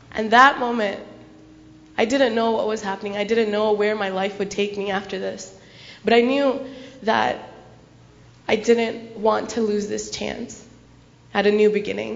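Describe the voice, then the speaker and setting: A woman's fairly high voice in an American accent, flat and monotone at a moderate pace, with long, frequent pauses, audible room echo and noticeable background noise. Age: young. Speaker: speaker sharing personal story at gurdwara. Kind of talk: testimony. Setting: gurdwara gathering with audience.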